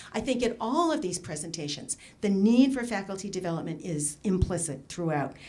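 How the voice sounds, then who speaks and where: Amid audible room echo and noticeable background noise, a woman of medium pitch talks at a fairly quick pace with very wide pitch swings. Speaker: education researcher, conference discussant. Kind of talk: conference talk. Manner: fast.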